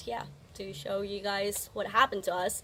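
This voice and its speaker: Medium-pitched female speech at a moderate pace, backed by music in the background. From Indonesia. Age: 20s. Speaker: podcast co-host. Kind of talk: casual chat.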